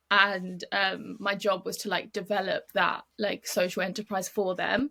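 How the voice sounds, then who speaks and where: A woman's bright, sharp voice at medium pitch, with monotone, flat intonation and a British accent. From UK. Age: 20s. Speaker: model and charity program manager. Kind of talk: podcast interview. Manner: casual, with many fillers.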